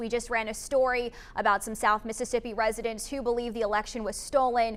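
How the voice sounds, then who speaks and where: This woman talks at a fairly quick pace. Her intonation stays monotone and flat. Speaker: television news anchor and reporter. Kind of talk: TV news anchor delivery.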